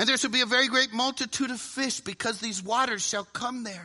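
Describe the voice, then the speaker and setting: A man speaks in a raised, projected voice with an American accent, his pitch extremely high and his tone bright and sharp. His pitch varies in an ordinary way at a moderate pace against a quiet background. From US South. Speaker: preacher. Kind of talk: sermon.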